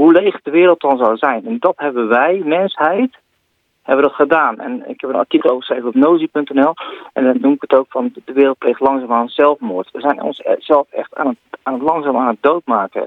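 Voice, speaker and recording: A man with a plain, everyday voice speaks at a moderate pace and a fairly high pitch. His intonation is lively, and his loudness swings a lot. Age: 40s. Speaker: tech columnist, social media expert. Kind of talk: radio column discussion.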